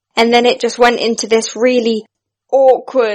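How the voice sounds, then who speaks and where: A woman talks with a British accent. Her pitch is fairly high. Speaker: actress. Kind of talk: casual chat.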